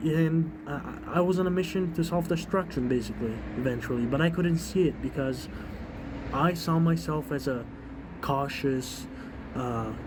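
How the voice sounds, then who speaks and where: A man's intonation is lively, with audible room echo and noticeable background noise around him. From Europe. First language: non-English European language. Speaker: vlogger. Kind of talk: personal testimony. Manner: casual, halting with many fillers.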